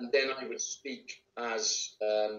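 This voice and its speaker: Here a man speaks with a Welsh accent. Audible room echo surrounds his voice. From Wales. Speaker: actor and voice actor. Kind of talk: interview answer. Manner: casual, conversational. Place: home room. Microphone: video call.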